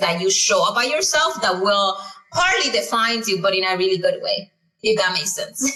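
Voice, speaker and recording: A woman with a Spanish accent, fairly high in pitch, with audible room echo. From Dominican Republic. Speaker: tech education founder, former banker. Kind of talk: interview. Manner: halting, many false starts.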